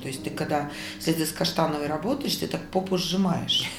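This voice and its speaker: A woman's very deep, low voice amid audible room echo and noticeable background noise. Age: 50s. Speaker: restaurateur and cook, former showbiz manager. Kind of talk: interview. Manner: animated.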